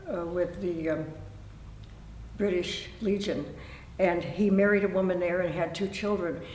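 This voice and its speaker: Amid noticeable background noise and audible room echo, a woman with a Pacific Northwest accent speaks at a fairly slow pace in a fairly low pitch, with monotone, flat intonation and long, frequent pauses. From Oregon, Tualatin area. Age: 80s+. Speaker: local elder interviewee. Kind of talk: oral history interview. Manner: halting.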